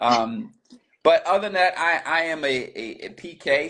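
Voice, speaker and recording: A man speaks with a Baltimore accent. His tone is bright and sharp, his intonation lively. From US, Baltimore. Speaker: pastor and business coach. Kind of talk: interview, casual chat.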